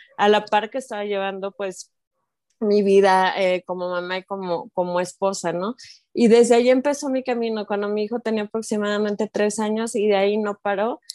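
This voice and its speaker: At a moderate pace, a woman talks with a fairly high pitch and fairly even intonation in a dry, close sound with no echo. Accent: Mexican. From Mexico. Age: 40s. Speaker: life coach for mothers. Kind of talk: interview.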